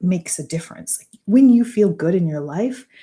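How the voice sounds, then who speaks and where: Somewhat breathy and dark, mellow in tone, a woman speaks with lively intonation. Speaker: business mentor. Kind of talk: live stream talk. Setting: live stream.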